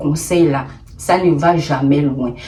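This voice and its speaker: A woman with a Gabonese accent is heard over noticeable background noise. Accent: Gabonese accent, put on deliberately here. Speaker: YouTuber, storyteller. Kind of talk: storytime advice vlog. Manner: animated, emphatic.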